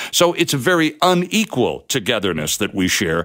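This voice swings very widely in pitch and has a vocal fry. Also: man. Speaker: radio host. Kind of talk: radio interview. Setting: radio studio. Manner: animated.

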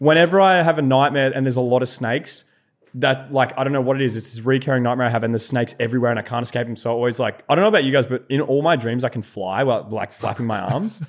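Speaking very fast with an Australian accent, a man keeps a medium pitch and ordinary pitch variation. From Australia, rural New South Wales-Victoria border. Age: 20s. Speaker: content creator. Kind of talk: casual chat.

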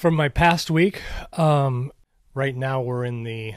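With an American accent, this man talks at a fairly slow pace and keeps his intonation fairly even. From US Midwest (Minnesota), later Arizona. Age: 60s. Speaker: former professional racquetball player, golf shop owner. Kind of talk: casual chat. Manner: halting, with repetitions and fillers.

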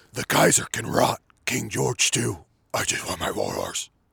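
A raspy man speaks in a menacing tone at a moderate pace. The sound is dry and close, without echo. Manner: menacing, low.

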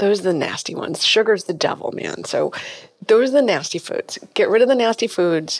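Talking at a fairly quick pace with an American accent, a woman has a fairly high pitch, lively intonation and an unremarkable speaking voice. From Massachusetts. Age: 50s. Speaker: functional medicine gynecologist. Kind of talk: interview.

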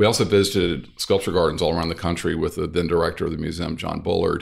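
Here a man speaks with a Southern US accent. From US South, North Louisiana. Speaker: architect and interior designer. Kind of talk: interview.

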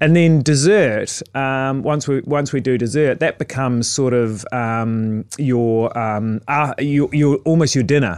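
A man with a New Zealand accent and medium pitch speaks at a fairly slow pace, showing ordinary pitch variation and hardly any pauses. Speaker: chef. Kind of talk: casual interview chat. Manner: halting, many repetitions and fillers.

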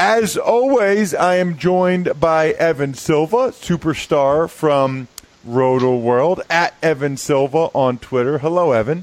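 This man's fairly high voice carries lively intonation and very even loudness at a fairly slow pace. He leaves hardly any pauses, and noticeable background noise is present. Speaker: podcast host, former pro football player. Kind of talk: casual podcast chat.

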